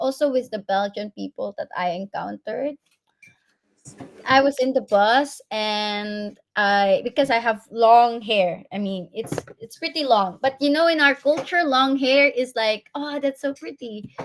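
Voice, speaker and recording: A woman with a Filipino accent speaks at a high pitch with lively intonation. Her pace is fairly slow, and the sound is dry and close with no echo. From Philippines. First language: Tagalog. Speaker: interviewee, professional living abroad. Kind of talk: interview.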